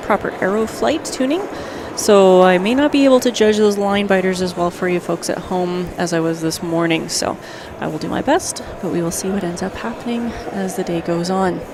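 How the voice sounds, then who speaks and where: A woman's medium-pitched voice with ordinary pitch variation, noticeable background noise and audible room echo. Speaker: sports commentator. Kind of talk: live commentary. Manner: fast.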